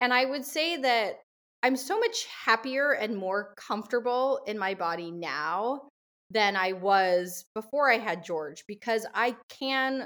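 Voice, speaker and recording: A woman with an unremarkable speaking voice talks at a fairly slow pace with lively intonation. The recording is very clean, the background silent. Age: 30s. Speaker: model and mom. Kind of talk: interview conversation.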